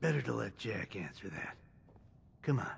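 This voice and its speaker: Putting on a raspy character voice, a man speaks with a fairly low pitch at a moderate pace. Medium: video game. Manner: calm, clipped, businesslike.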